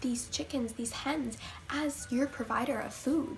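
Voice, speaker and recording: A high-pitched woman's voice with ordinary pitch variation, moving at a moderate pace. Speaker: vegan vlogger. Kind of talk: casual talk to camera. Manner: stuttering, hesitant with many fillers.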